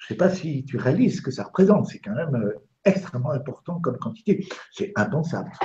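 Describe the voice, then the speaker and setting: A man's high, dark, mellow voice at a fairly quick pace, with very wide pitch swings and big swings in loudness. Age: 70s. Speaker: doctor and lecturer. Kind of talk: interview on live web TV. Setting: live web broadcast.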